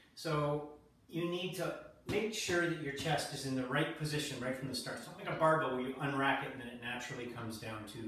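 Very fast speech from a man, with ordinary pitch variation, big swings in loudness, strong room echo, and light background noise. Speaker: fitness trainer. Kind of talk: tutorial. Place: gym. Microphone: camera far.

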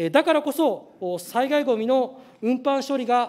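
The man's voice sits at an extremely high pitch. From Saga Prefecture, Japan; Japan. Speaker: legislator. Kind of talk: parliamentary questioning. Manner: formal. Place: hall. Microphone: podium.

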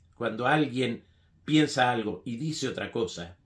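Over a quiet background, a man speaks in a somewhat breathy voice of medium pitch. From Argentina, Mendoza; Argentina. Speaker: writer; political commentator. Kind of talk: political opinion monologue. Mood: critical, earnest. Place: home room.

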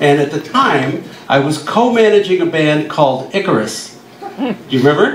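Light background noise and audible room echo behind a man speaking. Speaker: guest. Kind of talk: storytelling panel talk. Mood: humorous, relaxed. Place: bar. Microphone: camera far.

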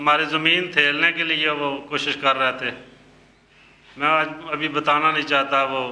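A man with a fairly high pitch talks in a monotone, flat intonation. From Pakistani Punjab, Mandi Bahauddin. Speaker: former prisoner. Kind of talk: interview testimony. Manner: halting.

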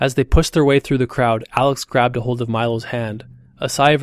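The clip consists of plain reading aloud.

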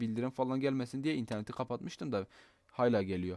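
A man talks at a very fast pace, recorded with a dry, close sound and no echo. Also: very clean recording, silent background. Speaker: gaming YouTuber. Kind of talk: tutorial. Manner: casual and chatty.

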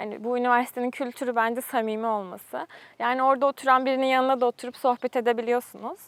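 Recorded very clean with a silent background, the sound is dry and close with no echo. A high-pitched woman speaks very fast in a monotone, flat way. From Turkey, Isparta. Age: 20s. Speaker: graduate student. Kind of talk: interview.

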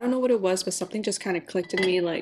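A woman is talking. Her pitch shifts in an ordinary way. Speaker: vlogger. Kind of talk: casual vlog chat. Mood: reflective, candid. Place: kitchen. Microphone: camera far.

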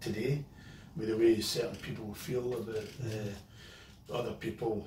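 A man's voice with fairly even intonation, audible room echo and light background noise. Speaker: guest actor. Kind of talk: interview answer. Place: garage. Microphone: camera far.

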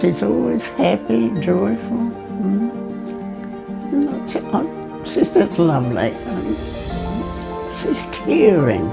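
Clear music plays in the background as a woman speaks. Her pace is very slow, with long, frequent pauses. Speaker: care home resident. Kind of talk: interview answer. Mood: warm, fond. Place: home room.

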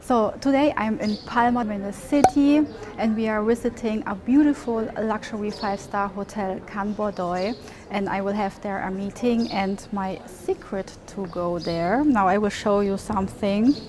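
Noticeable background noise sits behind a woman's voice. She speaks at a moderate pace with ordinary pitch variation. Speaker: travel vlogger. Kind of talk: sponsored product presentation. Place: street. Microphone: lapel.

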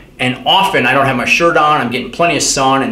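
A man's voice with audible room echo. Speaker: fitness educator. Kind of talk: lecture. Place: home room.

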